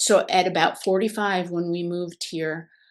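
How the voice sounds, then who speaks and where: Against a quiet background, a woman with an American accent talks at a moderate pace in a medium pitch. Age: 60s. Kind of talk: casual chat. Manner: halting.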